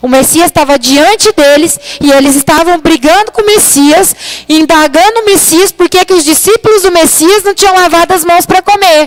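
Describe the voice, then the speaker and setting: A woman's extremely high-pitched voice with ordinary pitch variation, very even loudness and a moderate pace, over noticeable background noise. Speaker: preacher. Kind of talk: sermon. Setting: church livestream. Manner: soft-spoken.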